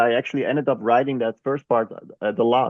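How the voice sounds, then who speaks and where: A man with a strong Dutch accent speaks at a medium pitch with fairly even intonation. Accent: Dutch, thick. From Netherlands. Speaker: chess journalist and author. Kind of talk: podcast interview. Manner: halting, many fillers.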